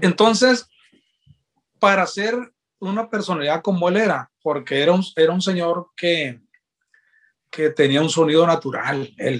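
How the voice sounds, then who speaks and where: Here a man talks at a fairly slow pace, leaving long, frequent pauses. His pitch is high, with ordinary variation. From Sinaloa, Mexico (Guasave). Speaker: trombonist. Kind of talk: interview. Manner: halting, many repeated words.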